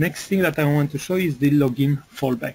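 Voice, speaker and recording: A man speaks fairly slowly and somewhat breathily, his fairly high voice dark and mellow in tone, with ordinary pitch variation. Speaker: software developer presenting product webinar. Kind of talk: webinar product demo. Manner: hesitant, many fillers.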